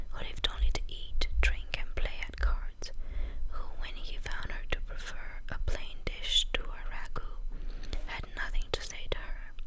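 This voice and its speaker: A woman whispers, soft-spoken and calm, at a fairly slow pace. Noticeable background noise can be heard. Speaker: ASMR content creator. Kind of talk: whispered audiobook-style reading. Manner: whispered, soft, calm.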